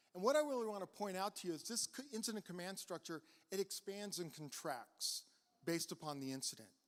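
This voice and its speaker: Very fast speech from a man, pitched high. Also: lively intonation. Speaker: county emergency services chief. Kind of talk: presentation to an audience. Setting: live event with audience. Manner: repeats words, some fillers.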